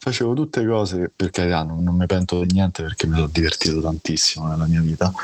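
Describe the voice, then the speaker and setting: A man with a very deep, low pitch talks with ordinary pitch variation while noticeable background noise plays. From Rome, Italy. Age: 40s. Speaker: blind guest sharing illness story. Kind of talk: interview testimony. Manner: halting, repeats words.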